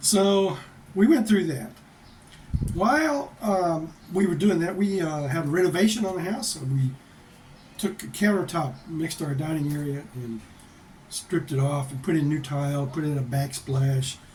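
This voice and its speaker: With an American accent, a man speaks at a moderate pace and fairly high pitch, his intonation lively and his pauses long and frequent, over audible room echo and noticeable background noise. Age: 60s. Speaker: vlogger. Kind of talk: casual chat. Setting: home office.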